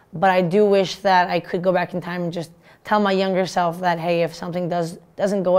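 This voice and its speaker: The speech keeps a monotone, flat intonation at a fairly quick pace. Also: woman. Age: 20s. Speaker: hockey player and student athlete. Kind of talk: interview. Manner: halting. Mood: warm, upbeat. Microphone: lapel.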